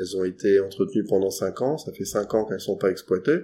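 The recording is very clean and the background silent. A man with a dark, mellow tone talks at a fairly low pitch. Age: 40s. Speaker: geologist. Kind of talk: interview. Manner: hesitant, many fillers.

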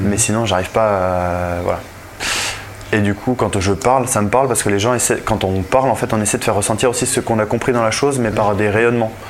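Fairly low-pitched male voice, fairly even intonation, fairly quick pace, very even loudness, noticeable background noise. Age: 20s. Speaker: winemaker. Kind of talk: casual chat.

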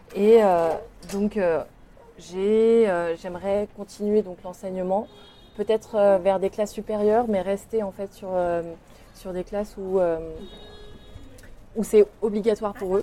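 Speaking at a very slow pace with long, frequent pauses, a woman uses a dark, mellow tone, monotone, flat intonation, and big swings in loudness. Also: medium pitch for a woman. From France, Lyon. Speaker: artist and teacher. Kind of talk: interview. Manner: halting.

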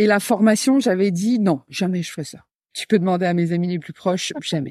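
A woman with an ordinary speaking voice at a moderate pace and ordinary pitch variation, in a very clean recording with a silent background and a dry, close sound with no echo. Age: 30s. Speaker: creative business entrepreneur and trainer. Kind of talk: casual interview chat.

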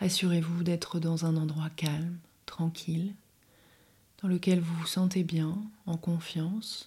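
Somewhat breathy, with a dark, mellow tone and a fairly low pitch, a woman speaks at a fairly slow pace in a monotone, flat intonation. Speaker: podcast host and meditation guide. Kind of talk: guided meditation. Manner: soft-spoken.

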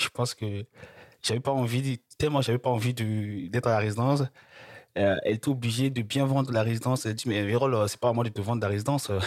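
Delivery comes at a fairly quick pace, with a dry, close sound and no echo. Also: man, medium pitch for a man, fairly even intonation. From Republic of the Congo. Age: 20s. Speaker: student. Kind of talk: interview. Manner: halting.

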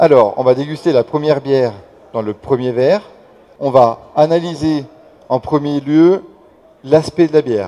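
Long, frequent pauses break up this fairly slow speech. The tone is dark and mellow, with ordinary pitch variation. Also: man, fairly high pitch for a man. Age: 30s. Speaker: beer sommelier. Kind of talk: tasting workshop. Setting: beer festival with audience.

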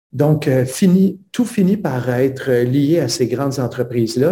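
Talking at a very slow pace, a man has a medium-pitched, dark, mellow and somewhat breathy voice with ordinary pitch variation. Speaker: teacher and author. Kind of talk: interview.

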